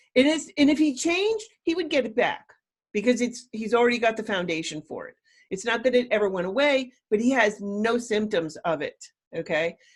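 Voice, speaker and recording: At a fairly quick pace, a woman speaks in a fairly high, somewhat breathy voice with very wide pitch swings, on a very clean recording with a silent background. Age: 60s. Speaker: plant-based diet coach. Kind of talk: interview conversation.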